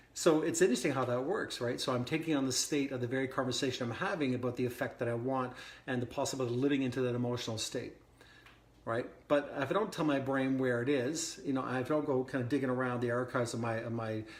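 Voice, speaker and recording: With an excited tone, a man talks at a very fast pace and a medium pitch. His pitch variation is ordinary, and there is audible room echo. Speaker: wellness coach. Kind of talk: podcast monologue. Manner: casual with frequent restarts; speeding up as he gets excited.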